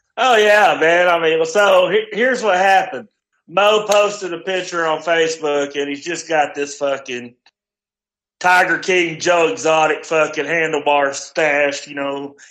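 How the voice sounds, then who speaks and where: A loud, fairly slow man's voice, high in pitch. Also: ordinary pitch variation. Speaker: friend calling in. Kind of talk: casual chat. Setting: phone call.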